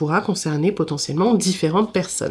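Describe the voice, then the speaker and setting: A woman talks at a moderate pace, somewhat breathy and fairly low in pitch. Her pitch varies in an ordinary way. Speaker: tarot reader. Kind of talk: interactive tarot reading. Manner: halting, many hesitations.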